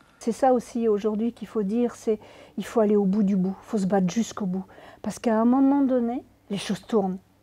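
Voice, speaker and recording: Fairly quick and somewhat breathy, a woman's voice has a dark, mellow tone, a fairly high pitch and fairly even intonation. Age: 60s. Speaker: real-life abuse victim and author whose story inspired the film. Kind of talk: interview testimony. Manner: halting with many repetitions.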